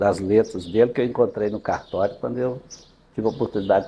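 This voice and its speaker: A man with a fairly low pitch talks in a dark, mellow tone that is somewhat breathy. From Brazil, Minas Gerais (Vazante). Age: 70s. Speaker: local notable, doctor. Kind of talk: interview, reminiscing.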